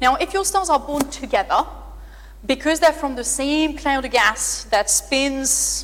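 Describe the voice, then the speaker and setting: A speaker with a French accent talks in an animated tone at a moderate pace. Noticeable background noise is present. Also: woman. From France, near the Pyrenees. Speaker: astrophysicist. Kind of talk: public lecture Q&A.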